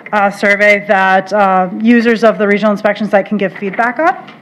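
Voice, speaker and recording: There is noticeable background noise as a woman speaks at a fairly high pitch with ordinary pitch variation. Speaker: water resource specialist presenting to county board. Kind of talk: formal presentation at public meeting. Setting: county board meeting room with mic. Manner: hesitant, many fillers.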